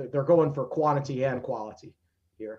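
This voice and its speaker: Fairly high-pitched man with an American accent, somewhat breathy, at a moderate pace with ordinary pitch variation. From Virginia, Danville. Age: 30s. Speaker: sports writer and analyst. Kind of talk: podcast interview.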